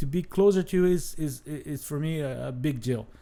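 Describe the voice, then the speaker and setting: A man with a Brazilian Portuguese accent, lively intonation and a fairly slow pace, on a very clean recording with a silent background. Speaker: travel show host. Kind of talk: unscripted talk to camera. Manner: halting, many fillers and restarts.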